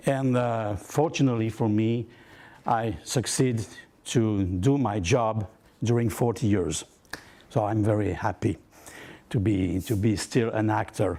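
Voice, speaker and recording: A man with a French accent, fairly low pitch, a dark, mellow tone, ordinary pitch variation, very even loudness, a fairly slow pace and long, frequent pauses. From southern France. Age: 60s. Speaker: actor. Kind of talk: workshop talk. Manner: halting.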